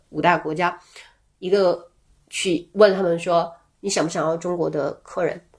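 A woman in a normal speaking voice, with a fairly low pitch, fairly even intonation and a moderate pace, in a very clean recording with a silent background. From Guangxi, small town near Liuzhou. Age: 40s. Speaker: travel tech product lead. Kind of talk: casual interview chat.

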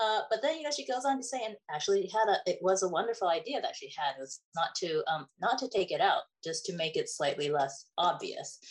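Fairly high in pitch, a woman's voice shows vocal fry and very wide pitch swings. She talks at a fairly quick pace with hardly any pauses. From Taiwan, raised in US. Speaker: children's book author. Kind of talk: interview. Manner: hesitant with many fillers.

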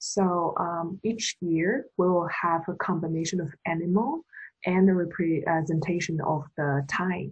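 Speaking with a Chinese accent, a woman talks at a fairly slow pace in a somewhat breathy, fairly low voice with ordinary pitch variation. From China. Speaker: podcast co-host. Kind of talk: casual chat.

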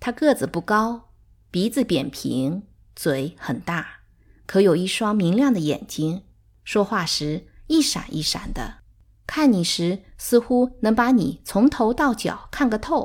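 A woman's calm, fairly high voice with vocal fry and very wide pitch swings, at a very slow pace in a very clean recording with a silent background. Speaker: audiobook narrator. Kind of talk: literary audiobook reading. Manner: measured, calm storytelling pace.

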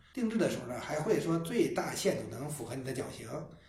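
With lively intonation and noticeable background noise, a man speaks at a very fast pace in a high pitch. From Beijing. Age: 50s. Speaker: shoemaker and business founder. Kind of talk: casual chat.

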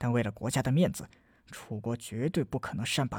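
This reading is delivered without strain, the pitch rising and falling by usual amounts.

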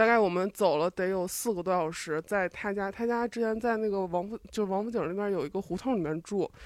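A normal speaking voice from a woman at medium pitch, with ordinary pitch variation, a fairly quick pace, hardly any pauses and a dry, close sound with no echo. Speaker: audience member. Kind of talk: casual chat.

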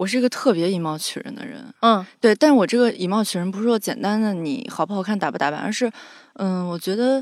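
Talking very fast, a woman uses lively intonation, and her loudness swings widely. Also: medium pitch for a woman. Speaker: podcast co-host and audio editor. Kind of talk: casual chat.

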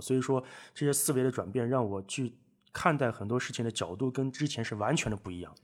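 A man at a very fast pace with ordinary pitch variation, in a very clean recording with a silent background. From northwest China. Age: 20s. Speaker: guest, online speaking coach. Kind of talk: casual chat. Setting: at host's home.

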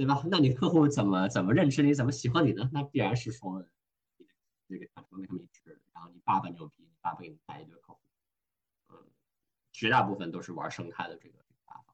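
A man at medium pitch talks very fast yet with long, frequent pauses, sounding somewhat breathy, with very wide pitch swings and big swings in loudness. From Hong Kong. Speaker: venture investor. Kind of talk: casual interview. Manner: code-switching with English phrases.

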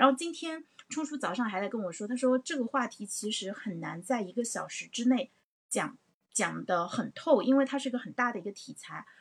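A woman with a high pitch, an animated tone, lively intonation and a fairly quick pace. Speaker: livestream host. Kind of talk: livestream discussion. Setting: livestream.

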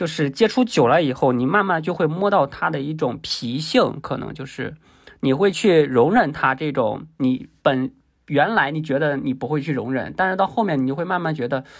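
In a very clean recording with a silent background, a man uses a plain, everyday voice at a fairly high pitch, speaking at a moderate pace with lively intonation. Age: 20s. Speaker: guest sharing a man's view on dating. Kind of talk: casual chat.

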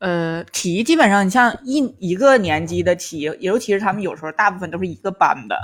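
With a Tangshan accent, a woman talks at a fairly quick pace with lively intonation and hardly any pauses. The recording is very clean, the background silent. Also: medium pitch for a woman. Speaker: stand-up comedian and former private tutor. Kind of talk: casual chat.

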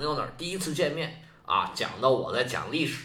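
A man speaks in a fairly high pitch with lively intonation, with audible room echo and noticeable background noise around him. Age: 50s. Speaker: history podcaster. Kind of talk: history storytelling monologue.

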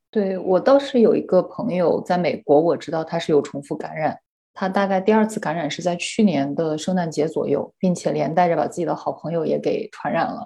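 Her tone dark and mellow, a woman speaks fairly quickly at a fairly low pitch with lively intonation. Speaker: researcher and podcast host. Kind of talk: casual chat.

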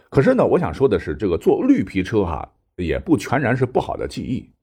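This man talks fairly quickly against a quiet background. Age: 40s. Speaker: history podcaster. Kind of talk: storytelling in a casual interview.

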